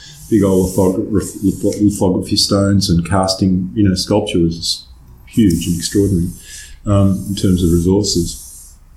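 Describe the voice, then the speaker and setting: With an Australian accent, a man speaks fairly slowly in a very deep, low, somewhat breathy voice with monotone, flat intonation. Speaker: conceptual artist. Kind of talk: interview. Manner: halting.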